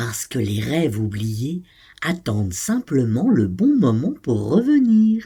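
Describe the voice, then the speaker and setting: This is a put-on character voice with a low-to-middle pitch. It moves at a fairly slow pace. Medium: read story. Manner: soft, hushed.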